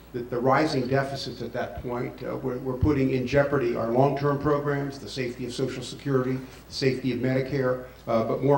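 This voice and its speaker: Through noticeable background noise and audible room echo, a man with a medium pitch talks at a very fast pace. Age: 60s. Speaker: former congressman and campaign surrogate. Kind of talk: forum speech.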